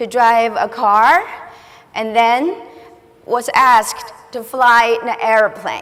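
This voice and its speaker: A fairly high-pitched woman's voice with a Chinese accent, very slow, over noticeable background noise. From China. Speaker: school director. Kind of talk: conference speech. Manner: halting.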